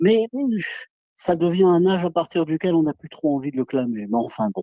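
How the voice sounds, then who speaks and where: A man's high-pitched voice, dark and mellow in tone, with very wide pitch swings at a moderate pace. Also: dry, close sound with no echo. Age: 70s. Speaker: retired TV news presenter. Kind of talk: interview testimony.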